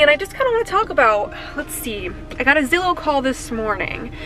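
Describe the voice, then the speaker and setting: A woman's raised, projected voice at a moderate pace, with music in the background. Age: 20s. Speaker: real estate agent. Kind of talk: vlog. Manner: casual.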